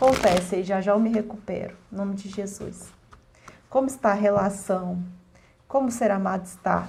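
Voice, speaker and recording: A woman speaks fairly slowly at a medium pitch, her intonation fairly even. Audible room echo and noticeable background noise surround her voice. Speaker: tarot card reader. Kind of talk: collective tarot reading.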